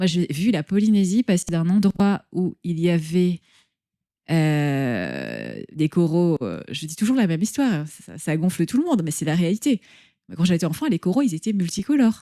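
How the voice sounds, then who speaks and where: A woman's fairly low, dark, mellow voice with lively intonation, at a moderate pace, on a very clean recording with a silent background. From French Polynesia (Tahiti). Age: 50s. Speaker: entrepreneur. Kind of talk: interview.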